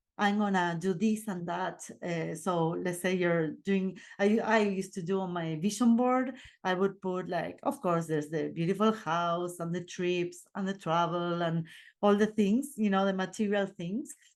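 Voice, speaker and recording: With an Argentine accent, a woman speaks at a medium pitch with ordinary pitch variation. Her moderate pace comes over a quiet background. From Argentina. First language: Spanish. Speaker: podcast host and life coach. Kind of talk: casual monologue podcast. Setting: video recording. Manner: casual, unedited.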